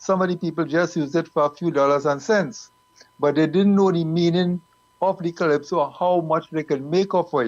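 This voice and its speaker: Speaking with a Trinidadian accent, a man uses a fairly high pitch and fairly even intonation. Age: 70s. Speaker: calypso group member. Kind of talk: panel discussion.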